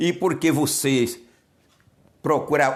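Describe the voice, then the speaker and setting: Vocal fry marks this man's voice, with audible room echo around it. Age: 70s. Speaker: pastor. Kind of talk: sermon. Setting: solo video recording.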